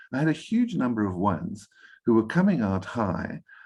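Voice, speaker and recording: A man does the talking. His pitch moves in very wide swings. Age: 60s. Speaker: enneagram coach, guest speaker. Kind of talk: workshop Q&A answer. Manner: halting, with fillers and repeats.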